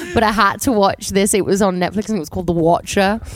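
Noticeable noise fills the background. The words come out very fast. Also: woman. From St Helens, northern England. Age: 30s. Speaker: actor. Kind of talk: casual chat. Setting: outdoors.

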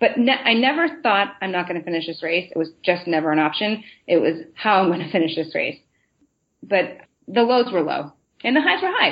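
A woman's fairly quick, lively delivery at medium pitch, a normal speaking voice. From Massachusetts, Boston area. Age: 30s. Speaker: marathon runner. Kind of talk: interview.

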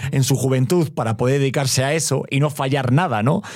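Speaking at a moderate speed, the man has a normal speaking voice pitched at a medium level. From Spain, Madrid. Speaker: expecting father. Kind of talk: casual chat.

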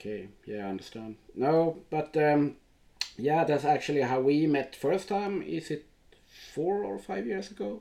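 A man with a Swedish accent speaks at a fairly slow pace. His fairly high pitch swings very widely. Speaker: podcast host. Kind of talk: casual interview.

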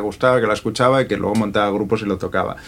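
With fairly even intonation, a man at medium pitch talks in an unremarkable speaking voice. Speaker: singer and producer. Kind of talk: interview.

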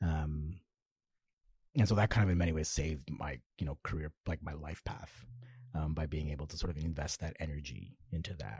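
Using vocal fry, a man talks at a fairly quick pace with a very deep, low pitch. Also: ordinary pitch variation. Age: 30s. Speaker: novelist. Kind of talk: casual chat.

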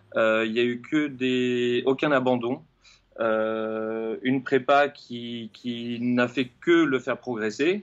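Keeping his intonation fairly even, a man speaks at a very slow pace and a medium pitch. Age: 40s. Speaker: running coach and fitness trainer. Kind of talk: interview. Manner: halting.

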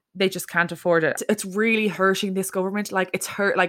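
On a very clean recording with a silent background, a woman with a Leinster accent speaks fairly quickly at a medium pitch in a monotone, flat intonation. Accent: Irish (Leinster). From Ireland, County Meath (Dunboyne). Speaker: podcast host. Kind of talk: casual chat.

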